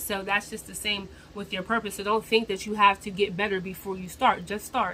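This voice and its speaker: Noticeable background noise runs under this recording. A woman talks at a fairly quick pace. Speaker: vlogger. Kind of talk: motivational talk to camera. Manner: rambling, repetitive phrasing.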